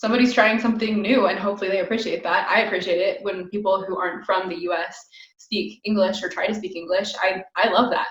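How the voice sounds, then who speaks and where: A woman with an American accent speaks very fast at a medium pitch. Room echo is audible around her voice. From United States. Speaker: podcast host. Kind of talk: interview. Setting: video call.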